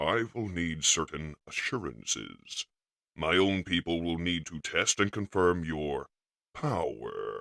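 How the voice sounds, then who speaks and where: A man puts on a character voice with a very deep, low pitch. He goes at a fairly slow pace, in a dry, close sound with no echo. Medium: fan dub. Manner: cold, clipped.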